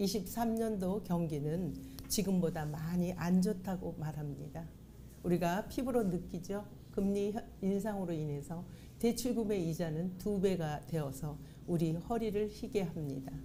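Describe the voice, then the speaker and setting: In a room with audible echo, a woman with a fairly low pitch, a dark, mellow tone and vocal fry speaks at a fairly slow pace with ordinary pitch variation. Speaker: pastor. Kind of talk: sermon. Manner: formal.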